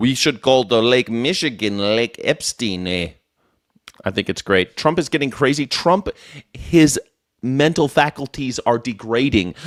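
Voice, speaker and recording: On a very clean recording with a silent background and a dry, close sound with no echo, a man with an American accent and a medium pitch speaks fairly slowly with lively intonation. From USA. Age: 40s. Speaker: political commentary streamer. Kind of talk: live stream commentary reacting to clips. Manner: animated, sarcastic.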